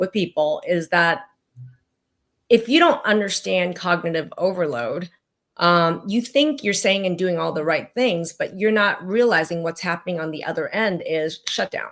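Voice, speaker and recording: In an ordinary speaking voice, a woman talks at a moderate pace and medium pitch with lively intonation. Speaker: physician. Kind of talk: interview.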